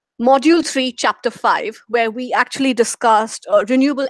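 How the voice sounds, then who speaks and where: A woman with an Indian accent at a very fast pace, in a dry, close sound with no echo. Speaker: program manager moderating a course Q&A. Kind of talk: live online Q&A moderation. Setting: live video broadcast.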